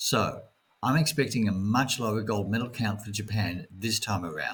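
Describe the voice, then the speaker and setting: Moderately paced speech in an Australian accent, its pitch varying in an ordinary way. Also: man, fairly low pitch for a man. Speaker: jet lag consultant. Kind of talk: scripted narration.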